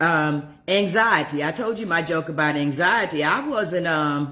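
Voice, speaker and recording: A woman with an ordinary speaking voice uses a fairly low pitch and lively intonation. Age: 60s. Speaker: recovery coach. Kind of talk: livestream monologue.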